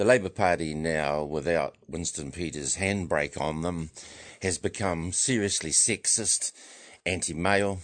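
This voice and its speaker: Against a quiet background, a man with a New Zealand accent speaks at a fairly slow pace in a very deep, low pitch with ordinary pitch variation. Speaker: men's rights activist. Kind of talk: radio interview. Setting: studio.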